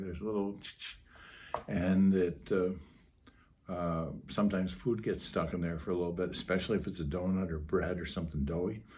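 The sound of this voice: A raspy, low-pitched man's voice with a slightly mellow tone.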